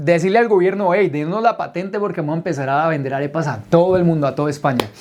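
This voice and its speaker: Very fast and animated, a man speaks in a high voice. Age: 30s. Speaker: entrepreneur telling his life story. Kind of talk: personal testimony told to a group.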